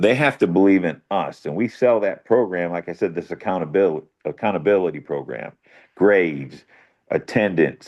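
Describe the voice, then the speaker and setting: Lively intonation carries this voice, spoken with an American accent. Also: man, very deep, low pitch for a man, moderate pace. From Ohio. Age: 60s. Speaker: football coach. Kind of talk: casual chat.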